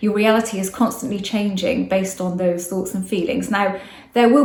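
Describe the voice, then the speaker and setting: There is noticeable background noise and audible room echo. Through it, a woman speaks at medium pitch with fairly even intonation. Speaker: manifestation coach. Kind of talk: casual talk to camera. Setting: outdoors. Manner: fast.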